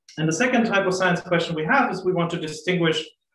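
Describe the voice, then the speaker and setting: A man is speaking. Room echo can be heard around his voice. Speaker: astrophysicist. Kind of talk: lecture. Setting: video call. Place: home room. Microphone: webcam.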